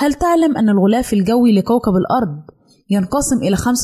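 A woman speaks at a moderate pace in a fairly high pitch, her tone dark and mellow and somewhat breathy. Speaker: radio presenter of a general-interest segment. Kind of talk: scripted informational narration.

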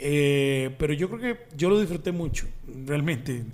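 Speaking with a Costa Rican accent, a man talks at a fairly high pitch. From Costa Rica, Desamparados. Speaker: comedian. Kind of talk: casual chat.

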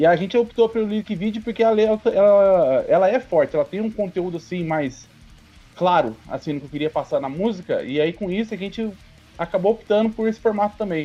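Music plays in the background as a man speaks in a high pitch. His pitch varies in an ordinary way. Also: fairly quick pace. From São Paulo, Brazil. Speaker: metal band vocalist. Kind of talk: casual chat.

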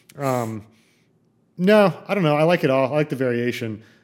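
A man talks at a medium pitch. The recording is very clean with a silent background. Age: 30s. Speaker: ultrarunner. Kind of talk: casual chat.

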